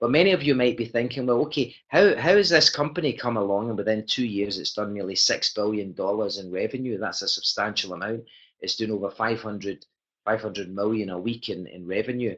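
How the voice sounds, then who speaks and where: Pitched in the medium range, this man's voice moves at a fairly quick pace with ordinary pitch variation. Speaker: network marketing presenter. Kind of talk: sales pitch. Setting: webinar. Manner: fast.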